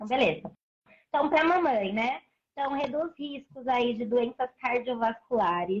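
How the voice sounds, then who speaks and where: Fairly slowly, a woman speaks in a high voice. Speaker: breastfeeding advocate and mother. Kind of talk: live stream interview. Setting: online live stream.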